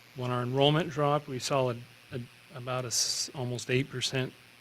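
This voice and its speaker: With an American accent, a man at medium pitch talks in a flat monotone, leaving long, frequent pauses against noticeable background noise. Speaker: school administrator presenting budget. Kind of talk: public budget hearing presentation. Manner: halting, many fillers and restarts; fast.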